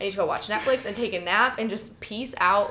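Over noticeable background noise, a woman speaks very fast at a medium pitch with a slight Chicago accent and ordinary pitch variation. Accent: Chicago accent, slight to moderate. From Chicago, US Midwest. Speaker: podcast co-host.

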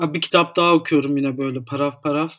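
On a very clean recording with a silent background, a man speaks in a fairly high, monotone voice with flat intonation. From Istanbul, Turkey. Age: 30s. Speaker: editor and psychology student. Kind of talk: casual interview chat.

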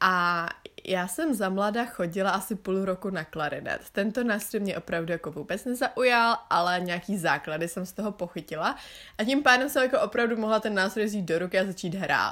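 In a very clean recording with a silent background, a woman with a bright, sharp tone speaks fairly quickly at a medium pitch with ordinary pitch variation. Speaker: podcaster and student. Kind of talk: casual monologue.

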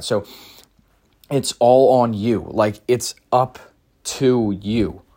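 His pitch sits in a medium range. The man's pitch varies in an ordinary way. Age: young. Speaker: podcast host. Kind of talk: solo monologue. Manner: casual, many filler words.

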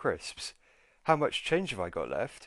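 A man with a British accent talks at a fairly quick pace against a quiet background. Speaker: podcast host, personal finance educator. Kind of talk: scripted podcast intro/monologue. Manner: friendly, informal, conversational.

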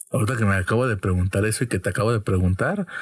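Somewhat breathy and very fast, a man talks with a Mexican accent in a dry, close recording with no echo. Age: 20s. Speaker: podcast host. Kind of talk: casual chat.

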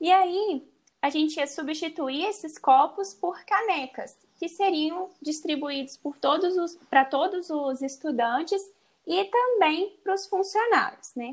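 A woman with an extremely high pitch speaks at a fairly slow pace with lively intonation. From Brazil, Minas Gerais. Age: 20s. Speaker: environmental engineer. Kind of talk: casual podcast conversation.

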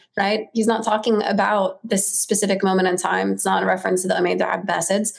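This woman talks at a fairly quick pace with vocal fry, a monotone, flat intonation and very even loudness. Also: medium pitch for a woman. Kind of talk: interview discussion. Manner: hesitant, filler-heavy.

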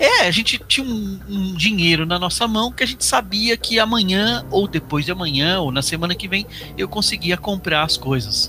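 Moderate pace from a man, noticeable background noise behind him. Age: 50s. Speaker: university professor and educator. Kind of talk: interview, personal recollection. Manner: halting, repetitive stammers.

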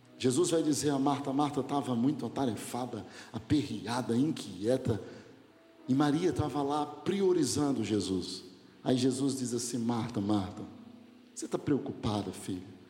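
A man speaks at medium pitch and a moderate pace, with ordinary pitch variation. There is audible echo from the room. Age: 40s. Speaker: pastor. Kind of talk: sermon.

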